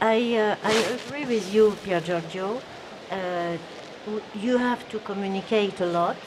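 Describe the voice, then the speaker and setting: Speaking at a very slow pace over noticeable background noise, a woman uses a medium pitch with ordinary pitch variation. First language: not English. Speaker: audience member. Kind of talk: audience question. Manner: halting.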